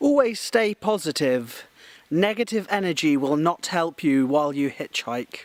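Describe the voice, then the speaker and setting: Speaking at a fairly slow pace, a man uses an animated tone with very wide pitch swings. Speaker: travel vlogger. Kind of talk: travel vlog. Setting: outdoors.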